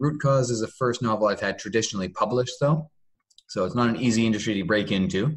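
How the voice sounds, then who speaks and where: A man speaks in a Canadian accent with an ordinary speaking voice. His pace is fairly quick and his pitch varies in an ordinary way. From Canada. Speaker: novelist and hotel manager. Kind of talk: interview. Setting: video call.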